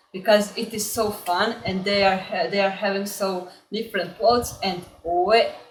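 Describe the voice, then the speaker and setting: Fairly slow, fairly even speech in a Croatian accent, with noticeable background noise and audible room echo. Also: woman. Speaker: language learning YouTuber. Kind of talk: casual vlog introduction. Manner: halting, many filler words.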